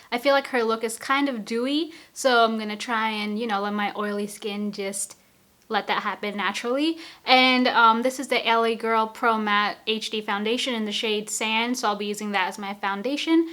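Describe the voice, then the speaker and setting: Bright, sharp tone on a very clean recording with a silent background. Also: woman, fairly high pitch for a woman. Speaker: beauty youtuber. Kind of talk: makeup tutorial. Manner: fast; animated.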